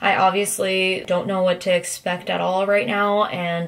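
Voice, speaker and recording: Noticeable background noise surrounds a woman who talks at a moderate pace. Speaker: vlogger. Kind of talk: casual vlog monologue.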